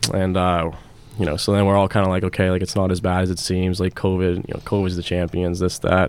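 Speaking very fast in a very deep, low pitch, a man with an American accent keeps a monotone, flat intonation. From Pittsburgh, US. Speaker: professional hockey player. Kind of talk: radio interview. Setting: studio.

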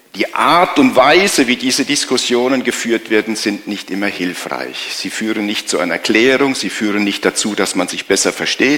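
A man's ordinary speaking voice at a moderate pace, with lively intonation. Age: 60s. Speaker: pastor. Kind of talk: sermon.

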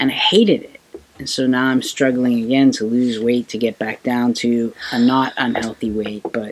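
Noticeable background noise is present throughout. The speech keeps a moderate pace. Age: 40s. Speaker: podcast co-host, librarian. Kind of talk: casual chat.

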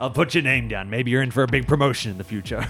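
Over clear background noise, a man rattles off lines very fast in a put-on character voice at medium pitch. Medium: actual play. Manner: cocky, brash.

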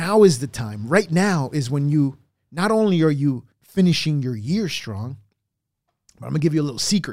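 Lively intonation carries the words along at a moderate pace. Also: man, fairly high pitch for a man. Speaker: electrical contractor podcaster. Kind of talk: motivational monologue, solo podcast/video talk. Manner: blunt, profane, fired-up, emphatic; repetitive, punchy, urgent.

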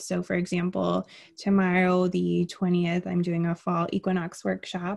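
An American-accented woman with an unremarkable speaking voice, medium pitch and ordinary pitch variation. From Miami, raised across the US (army family). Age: young. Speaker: yoga instructor. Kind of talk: casual interview.

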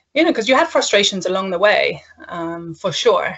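A woman speaks with a Danish accent. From Denmark. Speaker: learning and development consultant. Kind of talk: casual interview.

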